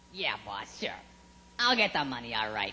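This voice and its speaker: A female-sounding voice uses a put-on character voice with a very deep, low pitch. The pace is moderate. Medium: stage play. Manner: sly, sneaky.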